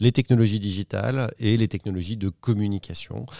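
A man is talking. His tone is dark and mellow, and the recording is very clean, with a silent background. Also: dry, close sound with no echo. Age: 40s. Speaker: corporate innovation executive. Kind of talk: interview.

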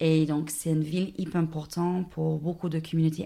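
A woman with an Australian accent, a very deep, low pitch, a dark, mellow tone and monotone, flat intonation. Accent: Australian-accented French, non-native. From Australia (Dubbo, rural New South Wales). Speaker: guest. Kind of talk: casual interview. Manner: hesitant, halting with fillers.

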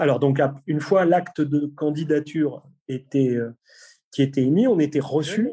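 In a normal speaking voice, a man talks at a moderate pace and fairly high pitch, with ordinary pitch variation and a quiet background. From Brittany, France. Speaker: police tactical unit commander. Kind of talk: interview.

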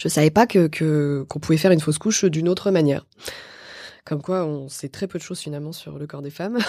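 A woman's very deep, low voice with a dark, mellow tone, very fast pace, ordinary pitch variation and big swings in loudness. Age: 40s. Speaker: actress and author. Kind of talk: casual chat. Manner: halting.

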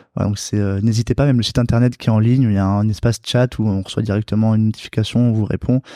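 A man talks at a very fast pace with hardly any pauses, his fairly low voice dark and mellow in tone and flat and monotone in intonation, recorded with a dry, close sound with no echo over a quiet background. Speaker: veterinary student and entrepreneur. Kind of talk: interview. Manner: halting.

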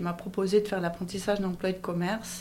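The speaker is a woman with a dark, mellow tone. Her intonation is fairly even. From Switzerland, Valais (Monthey). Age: 50s. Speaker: business owner. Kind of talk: interview.

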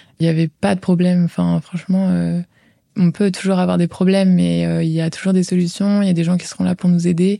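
A woman's dark, mellow tone at fairly low pitch, flat and monotone, in a very clean recording with a silent background. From France, Val d'Oise. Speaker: former exchange student. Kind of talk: interview testimony. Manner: hesitant with fillers.

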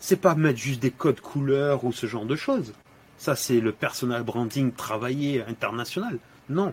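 Somewhat breathy, a man talks at medium pitch and a moderate pace with ordinary pitch variation. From Senegal (Dakar). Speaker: LinkedIn influencer and dry-cleaning shop owner. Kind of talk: podcast interview. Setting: in his dry-cleaning shop.

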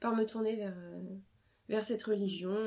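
A woman with a medium pitch speaks at a moderate pace, her pitch varying in an ordinary way. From France. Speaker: primary school teacher, former lawyer. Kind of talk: interview. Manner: hesitant, frequent fillers.

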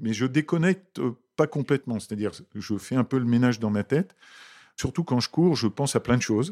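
On a very clean, dry, close recording with a silent background and no echo, a man with a dark, mellow tone and medium pitch talks at a fairly quick pace with lively intonation and long, frequent pauses. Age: 60s. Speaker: HR director. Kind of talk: interview. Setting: company office.

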